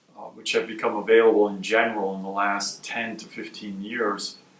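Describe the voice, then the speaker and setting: A man speaks with an American accent. The recording has audible room echo and noticeable background noise. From US Midwest, Milwaukee, Wisconsin. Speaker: medical research scientist, institute director. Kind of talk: interview.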